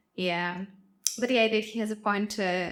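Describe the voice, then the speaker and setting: Over noticeable background noise, a woman with a non-native accent and a fairly high voice talks at a moderate pace. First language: not English. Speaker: YouTube reactor. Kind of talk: casual reaction commentary. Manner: hesitant, many fillers.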